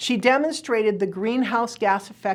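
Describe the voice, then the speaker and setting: In a plain, everyday voice, a woman talks at a moderate pace with lively intonation. The recording is very clean, with a silent background. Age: 60s. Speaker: energy futures speaker. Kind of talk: lecture. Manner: measured, explanatory.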